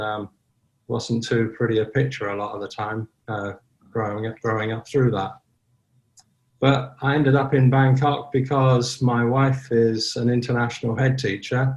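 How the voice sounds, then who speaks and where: Somewhat breathy and monotone, a man speaks with flat intonation in a medium pitch. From Ireland. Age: 70s. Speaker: sober community founder. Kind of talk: casual interview.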